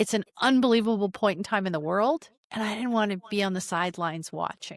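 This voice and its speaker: In an ordinary speaking voice, a woman talks at a fairly quick pace with medium pitch and ordinary pitch variation, the sound dry and close with no echo. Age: 60s. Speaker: tech founder and podcaster. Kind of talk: interview conversation.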